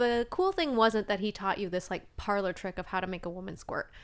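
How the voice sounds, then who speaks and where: The recording is very clean, with a silent background. A woman speaks in an unremarkable speaking voice at a medium pitch with fairly even intonation. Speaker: OnlyFans creator and attorney. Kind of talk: casual chat.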